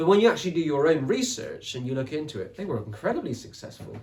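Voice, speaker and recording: Speaking with a West Country accent, a man uses a fairly high pitch and very wide pitch swings. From England, Somerset. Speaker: author and podcaster. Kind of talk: interview conversation. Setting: podcast recording.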